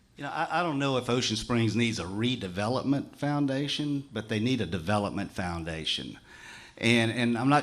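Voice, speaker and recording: With a Southern US accent, a man speaks at a moderate pace and with ordinary pitch variation. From US South, Mississippi Gulf Coast. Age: 60s. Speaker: mayoral candidate. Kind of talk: political forum answers. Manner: halting, many repeated words.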